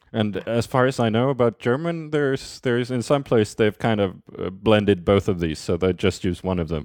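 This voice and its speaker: A man speaks with a Swedish accent. His intonation is lively. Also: moderate pace. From Sweden, Skåne. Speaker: guest, native speaker. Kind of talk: casual interview.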